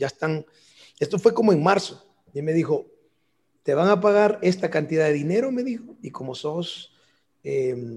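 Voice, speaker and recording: A man speaks in a high pitch. His tone is dark and mellow. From El Salvador, San Salvador area; moved to Los Angeles at 11. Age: 50s. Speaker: national football team coach, former player. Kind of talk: interview.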